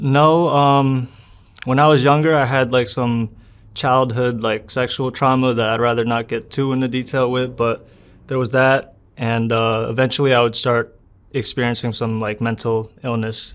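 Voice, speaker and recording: A man with an American accent talks at a medium pitch and a moderate pace. His intonation is fairly even, and the recording is very clean with a silent background. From US Northeast, northern New Jersey. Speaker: interviewee sharing life story. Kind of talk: interview testimony. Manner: casual, hesitant with fillers.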